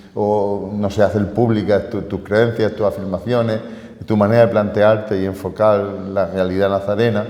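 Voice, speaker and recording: Amid noticeable background noise and audible room echo, a man speaks at a fairly low pitch and a moderate pace with fairly even intonation. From Spain, Murcia region (Totana). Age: 60s. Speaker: teacher and local historian, honorary Holy Week figure. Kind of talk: radio interview.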